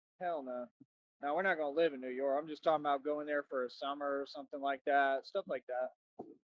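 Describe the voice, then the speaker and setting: With fairly even intonation, a man talks at a fairly quick pace in a fairly high pitch. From Texas, Austin. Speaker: livestreamer. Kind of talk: casual rant.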